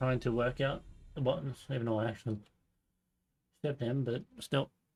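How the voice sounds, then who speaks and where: A man with an Australian accent, somewhat breathy, at a moderate pace with fairly even intonation. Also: medium pitch for a man. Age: 20s. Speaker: streamer. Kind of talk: live gameplay commentary. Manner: casual.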